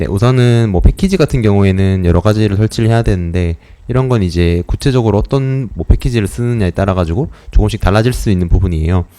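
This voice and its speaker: The man speaks at a very fast pace. His pitch is fairly low, with ordinary variation. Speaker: student presenter in a class. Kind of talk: lecture. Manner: hesitant, many fillers.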